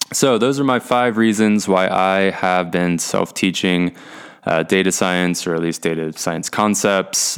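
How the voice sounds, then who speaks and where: Recorded very cleanly against a silent background, a man uses an ordinary speaking voice, fairly low, with ordinary pitch variation at a moderate pace. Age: 20s. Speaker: podcast host, aspiring data scientist. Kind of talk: solo podcast monologue. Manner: casual, with frequent fillers and restarts.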